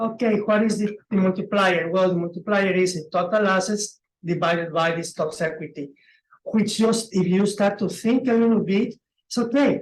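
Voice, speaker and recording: This speaker talks at a moderate pace with a Spanish accent. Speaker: presenter on commercial real estate. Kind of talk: webinar presentation. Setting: online webinar. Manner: animated.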